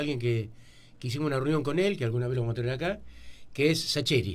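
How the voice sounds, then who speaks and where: Speech comes from a man at a very fast pace. The recording has audible room echo and noticeable background noise. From Argentina, Buenos Aires area. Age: 60s. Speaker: local writer. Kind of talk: radio interview.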